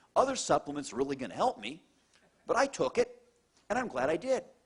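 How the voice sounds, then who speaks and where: The voice has an animated tone, with very wide pitch swings. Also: man. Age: middle-aged. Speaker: cardiologist. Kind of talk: testimonial talk to an audience.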